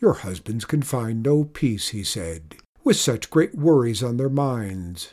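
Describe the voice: This is plain reading aloud. The voice reads the text.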